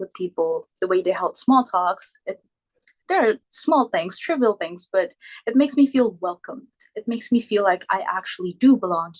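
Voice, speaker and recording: A woman with a non-native accent speaks at a moderate pace, her voice dry and close with no echo. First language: not English. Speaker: exchange student. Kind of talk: informal presentation. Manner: halting.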